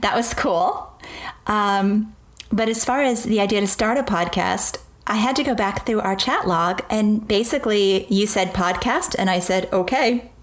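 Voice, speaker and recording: A woman with a fairly high pitch speaks at a moderate pace, with ordinary pitch variation and very even loudness, against noticeable background noise. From US East Coast. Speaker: podcast co-host. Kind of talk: casual chat.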